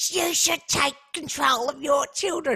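In a put-on character voice, the speaker goes high in pitch at a fairly slow pace. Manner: snooty, entitled.

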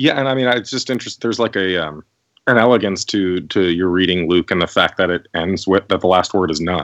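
With a very deep, low pitch and ordinary pitch variation, a man talks at a fairly quick pace. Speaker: podcast co-host. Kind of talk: casual chat. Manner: thoughtful, hesitant with fillers.

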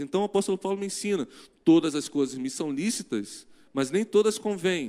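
A man's pitch swings very widely as he speaks at a moderate pace. The recording is very clean, with a silent background. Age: 40s. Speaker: pastor. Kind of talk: sermon. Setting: church. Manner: animated.

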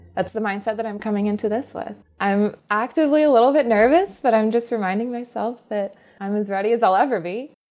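Over music in the background, a woman with an American accent talks very fast in a fairly high voice with ordinary pitch variation. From US South. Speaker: startup founder. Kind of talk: interview.

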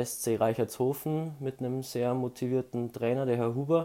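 A man speaks at a fairly slow pace with a medium pitch. His intonation is monotone and flat, his tone dark and mellow. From Bavaria, Ingolstadt area. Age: 20s. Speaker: student and amateur runner. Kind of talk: casual interview.

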